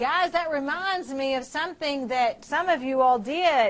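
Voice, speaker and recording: A woman speaks loudly, with lively intonation. Her pace is very slow. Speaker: chemistry teacher. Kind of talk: lecture. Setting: classroom with students. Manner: intense, gets louder when excited.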